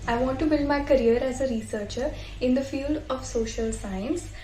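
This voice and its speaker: A high-pitched woman at a moderate pace, fairly even in intonation, with noticeable background noise and audible room echo. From India, Haridwar. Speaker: student, fellowship participant. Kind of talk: prepared personal statement.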